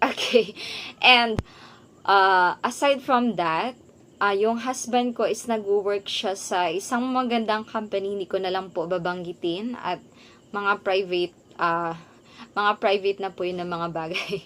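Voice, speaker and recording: A woman talks at a fairly slow pace in an unremarkable speaking voice. Her pitch is medium. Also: ordinary pitch variation. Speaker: vlogger and online English teacher. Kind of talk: vlog talking to camera.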